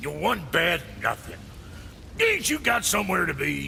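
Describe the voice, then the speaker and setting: Doing a gruff, put-on character voice, a man talks at a moderate pace against clear background noise. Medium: video game. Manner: gruff, coarse colloquial.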